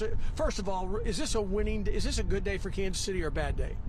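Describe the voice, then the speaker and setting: The man's speech is very fast. His voice comes with clear background noise and audible room echo. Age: 60s. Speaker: TV sports anchor. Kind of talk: live sports analysis on TV. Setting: outdoors at a stadium.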